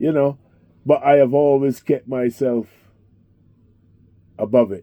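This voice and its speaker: A fairly high-pitched man's dark, mellow voice, fairly slow and fairly even in intonation, in a dry, close sound with no echo. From Barbados and London. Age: 60s. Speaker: taxi driver. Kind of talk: interview.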